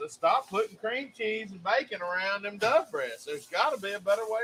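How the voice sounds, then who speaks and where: A man with a high pitch speaks at a moderate pace in a raised, projected voice. His loudness swings widely, with ordinary pitch variation. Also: hardly any pauses. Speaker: cooking show co-host. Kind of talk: casual chat. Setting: live stream studio.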